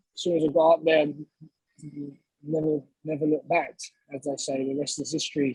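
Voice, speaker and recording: In a London accent, a somewhat breathy voice speaks at a moderate pace with monotone, flat intonation, and the sound is dry and close with no echo. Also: man. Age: 20s. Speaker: professional boxer. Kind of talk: interview.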